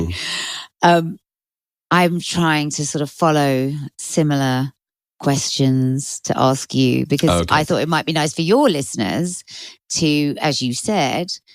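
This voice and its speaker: In a very clean recording with a silent background, a woman with a very deep, low pitch and ordinary pitch variation speaks at a fairly slow pace, taking long, frequent pauses. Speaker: former radio DJ. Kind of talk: podcast interviewer, casual.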